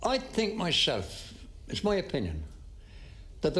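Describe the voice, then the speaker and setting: A man speaks with an Irish accent, his pitch making very wide swings. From Ireland. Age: 90s. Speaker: war veteran. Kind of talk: interview answer.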